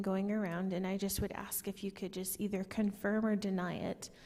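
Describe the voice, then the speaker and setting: Soft-spoken and fairly quick, a woman talks in a dark, mellow tone with fairly even intonation. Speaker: community member asking questions. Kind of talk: town hall Q&A. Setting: public meeting with audience microphones. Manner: quiet.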